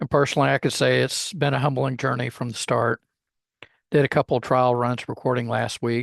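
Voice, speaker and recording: A man with a Texas accent talks at a fairly quick pace and medium pitch in monotone, flat intonation, the sound dry and close with no echo against a quiet background. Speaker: podcast host, former history teacher. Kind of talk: podcast monologue. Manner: casual, conversational; talkative.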